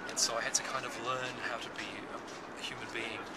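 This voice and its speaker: Loud background noise surrounds a man who speaks at a very fast pace. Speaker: psychologist and author. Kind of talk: interview. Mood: reflective, candid. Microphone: phone near.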